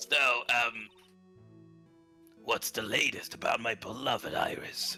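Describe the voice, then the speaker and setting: A put-on character voice moves at a fairly slow pace over faint music in the background. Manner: menacing, theatrical.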